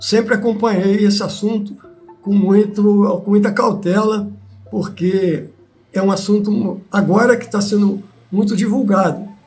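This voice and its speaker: With noticeable background noise and audible room echo, a high-pitched man speaks at a fairly slow pace. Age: 80s+. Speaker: retired army serviceman. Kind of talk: testimony. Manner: halting.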